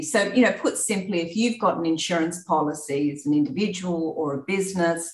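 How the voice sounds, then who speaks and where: A woman with an Australian accent, fairly low in pitch, at a moderate pace. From Australia, rural New South Wales. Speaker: insurance executive. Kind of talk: interview.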